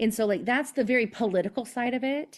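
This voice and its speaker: A woman speaks with a slight Southern US accent. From Oklahoma (Seminole Nation, Tulsa area). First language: Mvskoke (Creek). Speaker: playwright. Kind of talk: interview. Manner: casual, filler-heavy.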